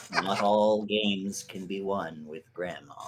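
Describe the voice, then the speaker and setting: Using a put-on character voice, a man speaks at a fairly slow pace with a fairly low pitch and monotone, flat intonation. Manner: grim, ominous.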